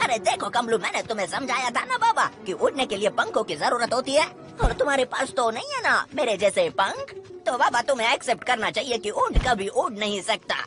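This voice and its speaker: A put-on character voice at a fairly high pitch moves at a fairly quick pace. Clear background noise sits behind it. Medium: fan dub. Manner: slangy, excitable, keeps saying "arre baba".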